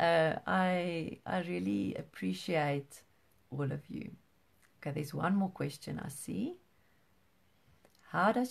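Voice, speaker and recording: Speaking at a very slow pace with long, frequent pauses, a woman uses a very deep, low pitch, very wide pitch swings and vocal fry. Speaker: parent support group host. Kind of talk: live online support group talk. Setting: livestream video. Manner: halting; soft-spoken.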